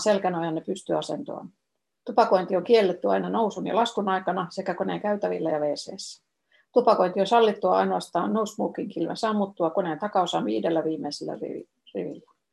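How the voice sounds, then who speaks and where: Vocal fry runs through this woman's medium-pitched voice. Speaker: former travel agency tour organizer. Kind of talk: flight announcement read aloud, Finnish then Swedish. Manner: formal, even and polite, cabin-crew style; slow, clear, measured reading.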